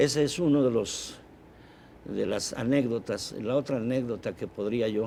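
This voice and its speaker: Speaking fairly slowly, a man with a dark, mellow tone keeps a medium pitch and ordinary pitch variation. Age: 70s. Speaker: engineer and film projector collector. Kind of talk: TV interview. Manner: halting.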